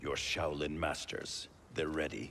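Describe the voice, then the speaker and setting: A man puts on a character voice at a very deep, low pitch. He talks at a fairly slow pace over clear background noise. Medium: video game. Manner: stern, suspicious.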